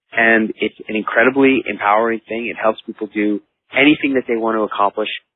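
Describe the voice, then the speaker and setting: A man at a medium pitch and fairly quick pace, with music in the background. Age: 40s. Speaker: author and motivational speaker. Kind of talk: interview.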